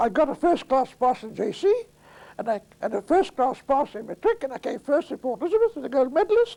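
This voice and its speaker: Extremely high-pitched for a man yet dark and mellow in tone, his voice moves at a fairly quick pace with lively intonation. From South Africa. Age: 80s+. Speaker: attorney. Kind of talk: oral history interview answer. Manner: hesitant, rambling storytelling.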